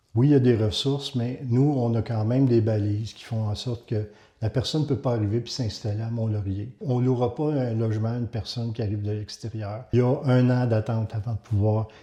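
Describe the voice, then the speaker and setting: A man speaks at a fairly quick pace and medium pitch over a quiet background. His voice is somewhat breathy with a dark, mellow tone and fairly even intonation. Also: hardly any pauses. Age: 60s. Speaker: community housing director. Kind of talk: testimony.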